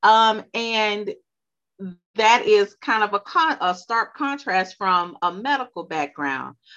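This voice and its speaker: A woman with a Louisiana accent, a bright, sharp tone, a fairly high pitch, lively intonation and a very slow pace. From US South, Louisiana. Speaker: podcast host. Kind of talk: interview.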